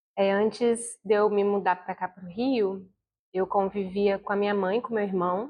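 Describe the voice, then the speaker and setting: Fairly slow and fairly even in intonation, a woman speaks at medium pitch. Hers is a plain, everyday voice. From Brazil, Vitória (Espírito Santo). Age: 30s. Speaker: university student. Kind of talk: documentary interview.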